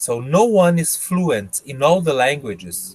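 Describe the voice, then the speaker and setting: At a very slow pace, a man's voice makes very wide pitch swings in a dry, close sound with no echo. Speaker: English teacher. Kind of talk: interview answering student questions. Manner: halting.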